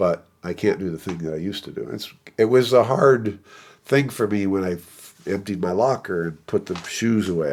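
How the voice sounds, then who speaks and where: A man with an American accent speaks at a moderate pace in a fairly low pitch, his intonation lively, in a plain, everyday voice, on a very clean recording with a silent background. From US South, South Florida. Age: 60s. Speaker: trumpet professor. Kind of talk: casual interview.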